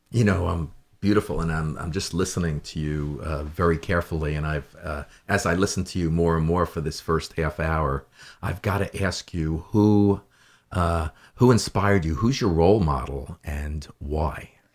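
A man speaks at a moderate pace in a very deep, low pitch with ordinary pitch variation. The recording is very clean, with a silent background. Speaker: talk show host. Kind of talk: casual interview. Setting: studio. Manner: enthusiastic.

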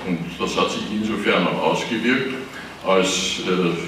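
A man speaks at a very slow pace in an Austrian accent, with ordinary pitch variation. Light background noise and audible room echo are present. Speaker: former industry association official. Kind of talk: panel discussion. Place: hall.

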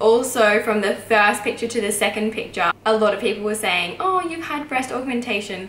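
Spoken in an Australian accent, the voice has ordinary pitch variation, audible room echo and light background noise. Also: woman. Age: 20s. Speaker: YouTuber, midwife and new mother. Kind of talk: vlog Q&A monologue. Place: home room.

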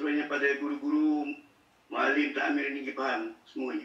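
Monotone, flat intonation from a man at a fairly high pitch, with audible room echo. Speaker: mosque religious teacher. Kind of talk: audience question. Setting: video call. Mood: calm, formal opening. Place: home room.

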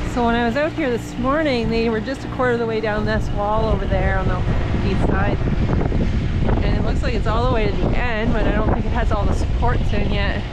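A woman talks at a fairly quick pace. Loud background noise surrounds her, and the sound is dry with no echo. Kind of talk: casual vlog chat. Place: farm machine. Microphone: phone near.

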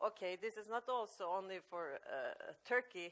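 Speaking with a Norwegian accent, a woman uses lively intonation. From Norway. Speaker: author; speaker. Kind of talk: panel talk. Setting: stage with audience. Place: cafe.

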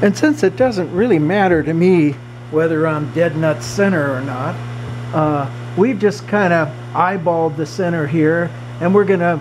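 Light background noise behind a man's moderate pace and ordinary pitch variation. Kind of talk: tutorial. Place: workshop. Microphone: phone near.

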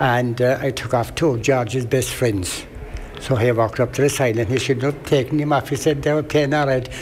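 A man talks fairly quickly at a medium pitch with fairly even intonation. His loudness stays very even over noticeable background noise. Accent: strong Kerry. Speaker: brother of late club founder. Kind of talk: interview reminiscence. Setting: outdoor event recording.

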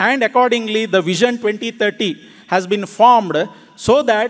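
A man speaks at a moderate pace in a high voice with ordinary pitch variation, over a quiet background. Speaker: conference speaker. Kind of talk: formal speech. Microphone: podium.

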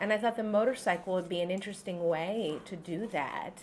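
A woman at a moderate pace with ordinary pitch variation over light background noise. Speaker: novelist. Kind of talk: author talk. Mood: relaxed, smiling. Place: cafe. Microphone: camera far.

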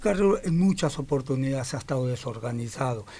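A man speaks in a Rioplatense accent. His voice sits at a fairly high pitch. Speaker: waste picker leader. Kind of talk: radio interview. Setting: studio. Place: studio. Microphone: studio mic.

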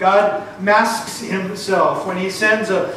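A man with a high pitch speaks amid audible room echo and light background noise. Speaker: preacher. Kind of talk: sermon. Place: church.

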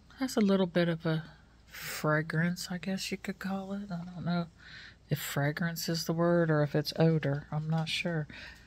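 Speaking in an American accent, a woman with a fairly low, somewhat breathy voice keeps a fairly even intonation at a moderate pace. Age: 60s. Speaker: YouTuber; vlogger. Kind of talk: casual vlog chat. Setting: at home. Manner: chatty, with many fillers. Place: home room. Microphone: phone near.

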